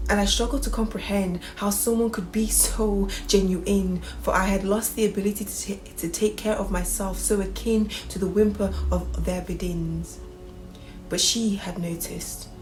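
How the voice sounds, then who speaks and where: A woman's moderate pace is set against music in the background. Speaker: spoken word poet. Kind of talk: spoken word poetry performance.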